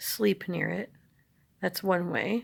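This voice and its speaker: A woman speaks quietly at a very slow pace. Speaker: herbalist vlogger. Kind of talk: casual vlog. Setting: at home, others asleep. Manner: hushed, low voice; halting with fillers.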